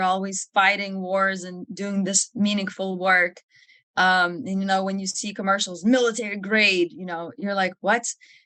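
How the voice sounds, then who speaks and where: In a Lithuanian accent, a woman speaks at a moderate pace with a medium pitch and a bright, sharp tone. Her intonation is monotone and flat, while her loudness swings widely. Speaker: army officer. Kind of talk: podcast interview.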